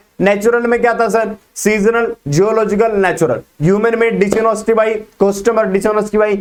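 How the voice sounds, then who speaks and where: A man speaks with a high pitch. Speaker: business studies teacher. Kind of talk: lecture. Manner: fast.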